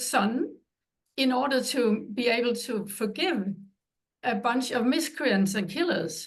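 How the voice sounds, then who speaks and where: At a fairly slow pace, a woman with a Danish accent speaks in a high pitch with ordinary pitch variation. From Denmark. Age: 70s. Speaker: author. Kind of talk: interview.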